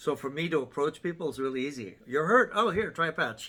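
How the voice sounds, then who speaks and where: Here a man talks at a very fast pace. His tone is bright and sharp. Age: 60s. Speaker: wellness product distributor and athletic trainer. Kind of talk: casual group discussion.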